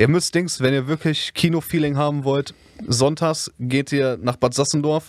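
In a very clean recording with a silent background and a dry, close sound with no echo, a man with a fairly high pitch talks in a normal speaking voice at a moderate pace with fairly even intonation. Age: 20s. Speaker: podcast co-host. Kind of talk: casual chat. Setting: basement.

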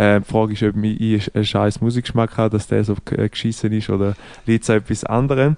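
At a fairly quick pace, a man with a Swiss accent speaks at a fairly low pitch with monotone, flat intonation. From Switzerland. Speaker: podcast co-host. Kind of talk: casual chat.

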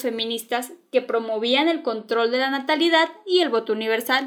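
In a very clean recording with a silent background, a woman with a Mexican accent speaks in an animated tone at a moderate pace, with ordinary pitch variation. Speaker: podcast host. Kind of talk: scripted storytelling narration.

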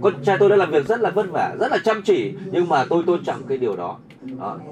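A man talks fairly quickly in a high voice with lively intonation, with noticeable noise in the background. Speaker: seminar speaker. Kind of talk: motivational seminar talk. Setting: live seminar with audience. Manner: animated, motivational.

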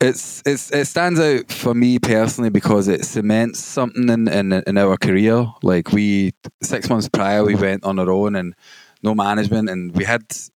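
A man speaks with a Glaswegian accent at a moderate pace. His pitch is fairly low with ordinary pitch variation. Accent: Glaswegian Scottish. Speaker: DJ and music producer. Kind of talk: casual interview.

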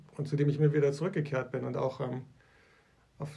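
A man's fairly high, somewhat breathy voice carries a dark, mellow tone and fairly even intonation. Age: 40s. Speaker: church leader, podcast co-host. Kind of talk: casual chat.

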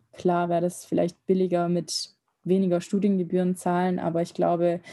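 In a very clean recording with a silent background, a woman with a fairly low pitch and a dark, mellow tone talks at a moderate pace in a flat, monotone way. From Germany. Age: 20s. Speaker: medical student. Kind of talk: casual interview.

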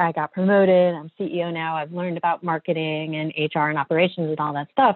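A woman speaks in an ordinary speaking voice, pitched fairly low. Her intonation stays fairly even at a fairly quick pace. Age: 40s. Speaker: design agency partner and author. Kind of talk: interview conversation.

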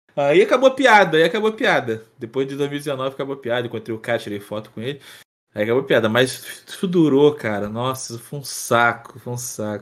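A man speaks at a fairly quick pace in an unremarkable speaking voice of medium pitch. His loudness swings widely on a very clean recording with a silent background. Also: lively intonation. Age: 30s. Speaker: streamer and presenter, former sports journalist. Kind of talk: casual interview chat.

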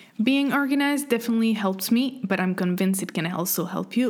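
Woman at a fairly quick pace, ordinary pitch variation, noticeable background noise. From French Canada. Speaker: podcast host. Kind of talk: scripted monologue.

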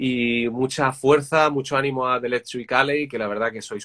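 A bright, sharp tone from a man. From Madrid, Spain. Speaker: music interviewer, singer. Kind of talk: casual live-stream interview. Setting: Instagram live video call. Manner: animated.

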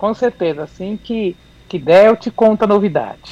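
A woman with an unremarkable speaking voice and a fairly high pitch talks at a moderate pace. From São Paulo city, Brazil. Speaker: independent singer. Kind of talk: radio interview.

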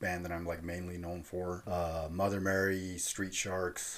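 Speaking at a fairly slow pace in a Californian accent, a man with a very deep, low pitch keeps his intonation monotone and flat. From Southern California (Fillmore, Ventura County). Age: 40s. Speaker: hardcore punk musician. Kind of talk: casual interview chat. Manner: halting.

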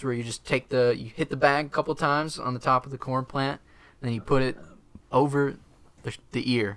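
Speaking at a fairly quick pace, a man with an unremarkable speaking voice keeps his medium pitch in a fairly even intonation. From Wisconsin, US Midwest. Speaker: plant researcher. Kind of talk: casual chat. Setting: studio.

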